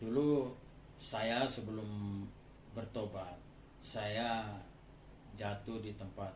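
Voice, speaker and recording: A man's fairly low, monotone voice with flat intonation, plus audible room echo and noticeable background noise. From Madura, Bangkalan. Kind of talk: testimony.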